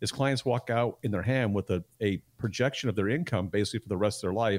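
A man with an unremarkable speaking voice and medium pitch talks at a fairly quick pace. The sound is dry and close with no echo, and the recording is very clean with a silent background. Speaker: financial advisor. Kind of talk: radio talk show discussion.

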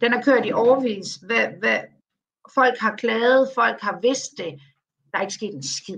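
Her pitch fairly high, a woman talks fairly slowly with ordinary pitch variation and big swings in loudness. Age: 50s. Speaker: communications consultant. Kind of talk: interview. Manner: halting.

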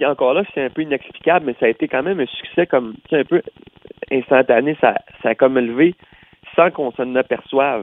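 A man with a Quebec accent speaks at a fairly high pitch and a fairly quick pace, with long, frequent pauses. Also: ordinary pitch variation. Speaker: country singer. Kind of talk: interview. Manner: halting, with many repeated words.

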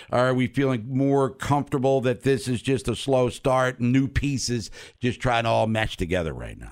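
Recorded very cleanly against a silent background, a man with an American accent talks at a medium pitch with fairly even intonation in an unremarkable speaking voice. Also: moderate pace. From Maryland, US. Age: 50s. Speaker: sports radio host. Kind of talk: casual chat.

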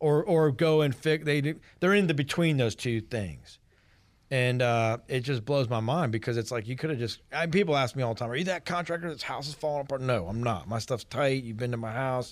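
A man with a normal speaking voice, medium pitch and ordinary pitch variation, at a fairly quick pace, on a very clean recording with a silent background. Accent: American. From US South, Georgia (East Cobb, Atlanta area). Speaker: painting and siding contractor. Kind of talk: casual radio interview.

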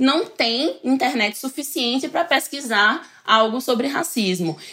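A woman speaks in a raised, projected voice at a high pitch and moderate pace. Noticeable background noise is present. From Northeast Brazil, coastal. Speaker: researcher, futurist, communication scholar. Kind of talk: casual interview chat.

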